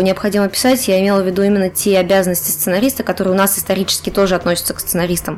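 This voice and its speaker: Noticeable background noise surrounds a woman's voice. She talks at a very fast pace in a monotone, flat intonation. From Chuvashia, Russia. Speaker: game scriptwriter. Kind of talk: casual podcast interview.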